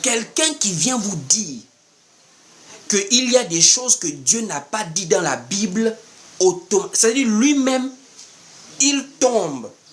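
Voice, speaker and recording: Amid noticeable background noise, a man speaks at a high pitch and a fairly slow pace, in an animated tone with very wide pitch swings. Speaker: preacher. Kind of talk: sermon.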